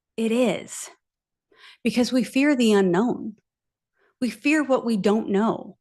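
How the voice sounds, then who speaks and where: Against a quiet background, a woman with a fairly high pitch speaks at a very slow pace, with long, frequent pauses and very even loudness. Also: ordinary pitch variation. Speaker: life coach. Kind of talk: live online masterclass. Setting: livestream with chat. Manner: slow, deliberate.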